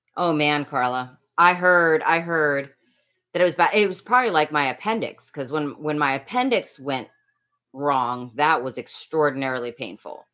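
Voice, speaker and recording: The voice is loud and animated, with lively intonation. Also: woman, very deep, low pitch for a woman, moderate pace, quiet background. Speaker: livestreamer. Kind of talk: casual livestream chat with viewers. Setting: home livestream on laptop.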